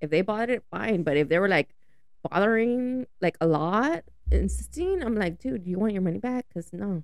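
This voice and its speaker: A woman talks at a fairly quick pace with lively intonation. She has an unremarkable speaking voice. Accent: American. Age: 30s. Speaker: friend of the host. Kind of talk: casual chat. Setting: studio.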